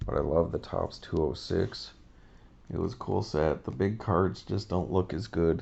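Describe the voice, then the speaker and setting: With an American accent, a raspy man speaks at a fairly slow pace with vocal fry and ordinary pitch variation. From US Southwest (Albuquerque, New Mexico). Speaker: sports card collector YouTuber. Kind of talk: casual card-opening video monologue. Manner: casual, hesitant with fillers.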